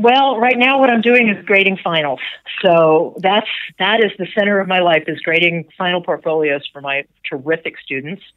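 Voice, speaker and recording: An unremarkable speaking voice comes from a woman with an American accent at medium pitch. She keeps a moderate pace and lively intonation. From US South, Atlanta, Georgia. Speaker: novelist and memoirist. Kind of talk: interview. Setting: phone call.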